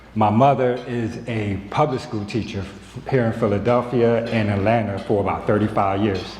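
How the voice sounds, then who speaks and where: Amid noticeable background noise and audible room echo, a man speaks at a moderate pace with hardly any pauses and fairly even intonation. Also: medium pitch for a man. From US South, South Carolina (Beaufort). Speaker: nonprofit co-founder and educator. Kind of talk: conference presentation. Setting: conference hall with audience.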